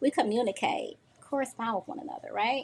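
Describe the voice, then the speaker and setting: A high-pitched female voice. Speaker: social media livestream host. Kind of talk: solo livestream talk to viewers. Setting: livestream at home on sofa. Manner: fast.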